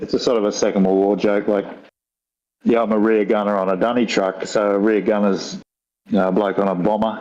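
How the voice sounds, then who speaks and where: A rural Australian accent at a fairly quick pace, with monotone, flat intonation and very even loudness. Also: man, fairly low pitch for a man. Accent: broad rural Australian. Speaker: guest on talk show. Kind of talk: casual chat.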